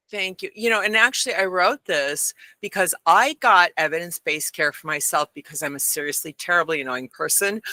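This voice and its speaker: A woman with an American accent, fairly low in pitch, bright and sharp in tone, animated and lively in intonation, at a fairly quick pace, in a dry, close recording with no echo. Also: hardly any pauses. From Michigan. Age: 60s. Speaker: science writer. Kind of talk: interview. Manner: fast.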